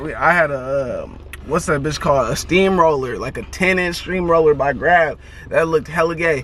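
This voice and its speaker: Over noticeable background noise, a man with an American accent speaks at a fairly high pitch with fairly even intonation. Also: moderate pace. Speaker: interviewer. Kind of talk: casual chat. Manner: stuttering at times.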